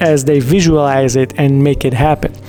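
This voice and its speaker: Music plays in the background as a man speaks. His pitch is fairly high, his pitch variation ordinary and his pace moderate. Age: 40s. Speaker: entrepreneur and online business vlogger. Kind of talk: casual direct-to-camera talk. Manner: casual with fillers and repetitions.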